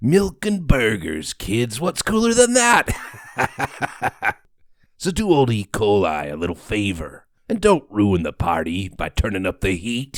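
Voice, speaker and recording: The delivery is fairly slow. A put-on character voice is used. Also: man, medium pitch for a man. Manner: cocky, folksy.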